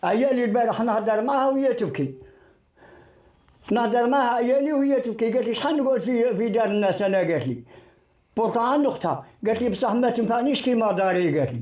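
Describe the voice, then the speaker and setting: A man with an Algerian accent speaks at an extremely high pitch with ordinary pitch variation. His pace is fairly quick and his loudness very even. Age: 80s+. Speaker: elderly resident interviewed. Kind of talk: street interview.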